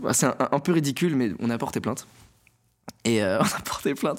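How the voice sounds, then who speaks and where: A medium-pitched man at a very fast pace with lively intonation, on a very clean recording with a silent background. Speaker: stand-up comedian. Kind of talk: casual interview. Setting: studio. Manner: articulation problems.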